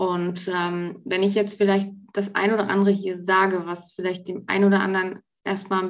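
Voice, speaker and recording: Monotone, flat intonation from a woman speaking at a moderate pace. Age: 40s. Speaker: pharmacy technician. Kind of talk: casual interview.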